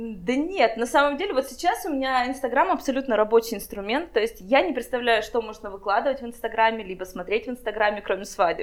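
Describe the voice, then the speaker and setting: A woman with a fairly high voice races along at a very fast pace, her intonation lively and her speech with hardly any pauses. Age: 20s. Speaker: wedding planner. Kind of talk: casual interview.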